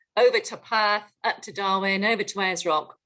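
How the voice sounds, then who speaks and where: With a British accent, a woman speaks at a medium pitch. Her pace is fairly slow and her intonation fairly even. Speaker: business executive, panelist. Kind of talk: panel webinar discussion.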